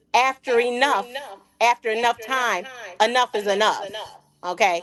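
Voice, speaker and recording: Pitched fairly high, a woman has an unremarkable speaking voice and a moderate pace. The sound is dry and close, with no echo. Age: 60s. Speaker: caller. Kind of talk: call-in discussion.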